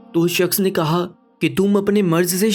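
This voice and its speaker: With music in the background, a man speaks in a high pitch with fairly even intonation. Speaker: narrator. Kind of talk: moral story narration.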